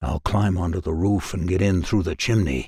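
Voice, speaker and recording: Using a put-on character voice, a man growls at a very deep, low pitch and a moderate pace. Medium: read story. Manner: growling.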